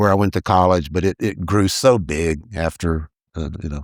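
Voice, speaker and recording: Very deep and low, a man's voice carries a Texas accent and ordinary pitch variation, dry and close with no echo on a very clean recording with a silent background. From East Texas, US. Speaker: mayoral candidate. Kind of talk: casual interview.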